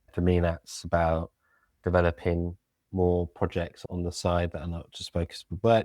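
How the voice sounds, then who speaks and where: A man with a British accent, a very deep, low pitch and a dark, mellow tone, in a monotone, flat intonation at a moderate pace, with a dry, close sound with no echo on a very clean recording with a silent background. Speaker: local government communications lead. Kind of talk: podcast interview.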